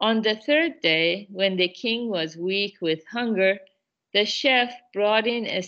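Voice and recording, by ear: The background stays quiet as a natural voice reads aloud, its pitch varying in an ordinary way.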